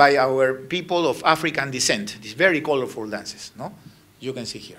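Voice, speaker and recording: A man speaks with big swings in loudness over noticeable background noise. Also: medium pitch for a man, ordinary pitch variation, moderate pace. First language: Spanish. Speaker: ambassador giving a lecture. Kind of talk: lecture with slides. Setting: university lecture hall with audience. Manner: halting.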